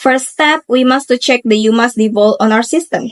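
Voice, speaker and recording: A woman speaks with an Indonesian accent at a fairly high pitch with ordinary pitch variation. The sound is dry and close, with no echo. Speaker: university student. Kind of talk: tutorial presentation. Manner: halting.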